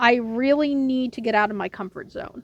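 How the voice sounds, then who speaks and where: A woman's high-pitched voice with ordinary pitch variation, in a dry, close sound with no echo. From United States. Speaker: book vlogger. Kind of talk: casual vlog talk. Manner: casual, with many fillers.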